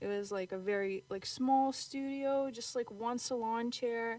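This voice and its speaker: A woman with a Ukrainian accent and fairly even intonation. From Ukraine. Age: 20s. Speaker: salon owner. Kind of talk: interview.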